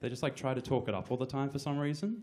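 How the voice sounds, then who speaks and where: The speaker here is male. He has an Australian accent, and his pitch moves up and down in an ordinary way. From Australia (Brisbane). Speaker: comedian. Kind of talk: stand-up. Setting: stage with audience. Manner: hesitant, many fillers.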